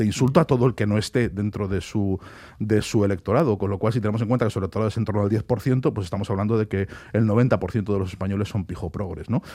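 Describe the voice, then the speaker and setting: Fairly low in pitch, a man rushes along at a very fast pace with ordinary pitch variation. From Spain. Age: 40s. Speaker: author. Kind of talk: radio interview.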